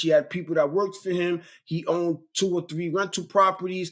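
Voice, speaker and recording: With a New York accent, a man speaks at a moderate pace and high pitch on a very clean recording with a silent background. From Brooklyn, New York. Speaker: real estate investor and mentor. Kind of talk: interview. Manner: casual, repetitive stammering.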